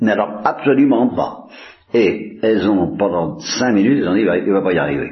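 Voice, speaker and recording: The room gives off audible echo, and noticeable background noise sits underneath. The intonation is lively while loudness stays very even. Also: man. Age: old. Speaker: priest. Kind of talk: religious talk. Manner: halting.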